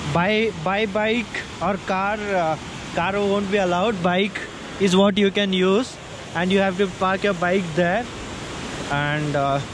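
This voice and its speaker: The speech moves at a very slow pace, broken by long, frequent pauses. The sound is dry with no echo, and there is noticeable background noise. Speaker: travel vlogger. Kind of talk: casual vlog chat. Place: forest. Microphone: phone near.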